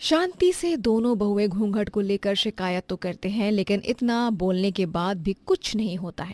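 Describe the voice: A woman speaks at a moderate pace with lively intonation, a medium pitch and a slightly mellow tone, recorded very cleanly with a silent background and a dry, close sound with no echo.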